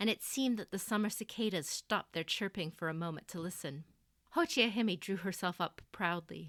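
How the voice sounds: The delivery is a natural reading voice. Pitch varies in an ordinary way.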